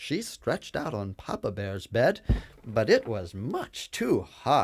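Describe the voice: Just plain reading aloud.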